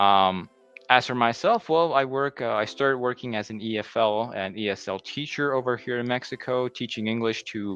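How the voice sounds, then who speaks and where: A man speaks with a New Jersey accent while music plays in the background. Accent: New Jersey American English. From US Northeast, New Jersey. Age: 30s. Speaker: English teacher. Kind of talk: conference presentation. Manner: hesitant, many fillers.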